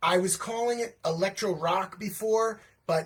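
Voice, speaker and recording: This man speaks in an animated tone. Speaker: livestream host and children's musician. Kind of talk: casual livestream monologue.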